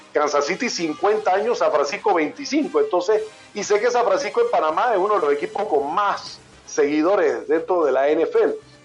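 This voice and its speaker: Music plays in the background as a high-pitched man speaks at a moderate pace. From Panama, living in Mexico. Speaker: sports broadcaster, voice of a sports TV network for NFL. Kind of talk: interview answer.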